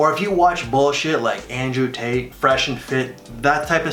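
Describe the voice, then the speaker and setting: A man speaks with a fairly high pitch. Audible room echo and noticeable background noise surround him. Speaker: fragrance reviewer. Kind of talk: casual review vlog. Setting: at home in the morning. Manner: speaking quietly.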